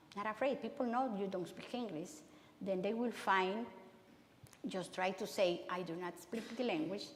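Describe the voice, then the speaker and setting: A woman talks at a medium pitch with ordinary pitch variation. Room echo is audible around her voice. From Honduras. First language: Spanish. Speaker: city councilmember and migrant education worker. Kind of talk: public talk Q&A. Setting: church talk with audience. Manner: halting, many repetitions and fillers.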